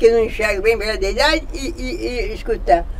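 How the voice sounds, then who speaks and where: A woman talks at a fairly quick pace with very wide pitch swings, with audible room echo and noticeable background noise. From Brazil, Minas Gerais. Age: 80s+. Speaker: cemetery devotee. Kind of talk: casual interview.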